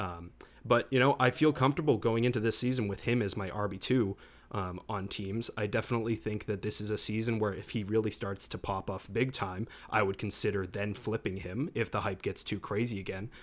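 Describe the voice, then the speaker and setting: A man talks at a fairly quick pace in a fairly low pitch, with ordinary pitch variation. It is a normal speaking voice. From Massachusetts. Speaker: podcast co-host. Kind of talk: casual podcast chat about fantasy football.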